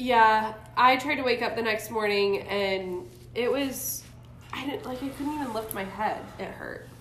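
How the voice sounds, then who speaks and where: A woman with an American accent and a fairly high voice, at a fairly slow pace, with ordinary pitch variation, big swings in loudness, noticeable background noise and audible room echo. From US South, Jacksonville, Florida. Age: 20s. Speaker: missionary traveler. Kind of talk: casual chat.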